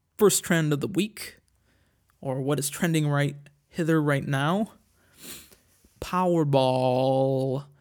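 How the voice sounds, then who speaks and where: A man with a squeaky voice speaks very slowly, leaving long, frequent pauses, with ordinary pitch variation. The recording is very clean and the background silent. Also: fairly high pitch for a man. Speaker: podcast host. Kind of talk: casual solo monologue. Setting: home recording on tablet. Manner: crude, joking.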